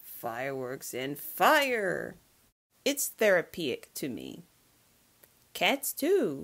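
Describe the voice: A female-sounding voice puts on a character at a very slow pace, with a fairly low pitch and long, frequent pauses.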